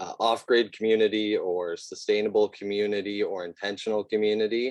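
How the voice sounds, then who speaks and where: A man with a Canadian accent, fairly low-pitched and shaky, at a fairly slow pace, in a dry, close sound with no echo. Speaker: eco-home designer. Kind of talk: presentation. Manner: shaky at the start.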